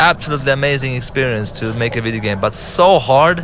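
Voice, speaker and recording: Amid noticeable background noise, a man with an Arabic accent speaks at a fairly quick pace with ordinary pitch variation. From Lebanon. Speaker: game director and filmmaker. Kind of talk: director's commentary over gameplay. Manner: halting, with fillers and restarts.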